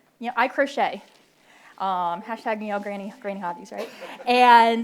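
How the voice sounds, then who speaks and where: This woman talks at a fairly quick pace with an American accent. Her pitch is fairly high, with ordinary variation. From Philadelphia, US. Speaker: military officer, panelist. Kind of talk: panel talk. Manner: animated, conversational.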